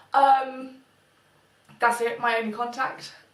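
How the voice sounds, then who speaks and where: A woman speaks with a British accent and a fairly high pitch. Audible room echo surrounds her voice. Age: 20s. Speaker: beauty vlogger. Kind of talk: casual vlog monologue. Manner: quiet.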